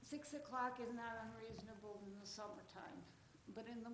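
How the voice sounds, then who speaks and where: Here a woman speaks with a fairly high pitch and fairly even intonation at a moderate pace. Audible room echo surrounds her voice. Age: 80s+. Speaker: citizen addressing city council. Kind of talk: public comment at council meeting. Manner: formal.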